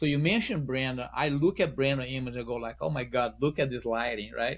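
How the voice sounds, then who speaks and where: With a strong Brazilian accent, a man talks at a fairly quick pace with ordinary pitch variation. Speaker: wedding photographer. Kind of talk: podcast interview.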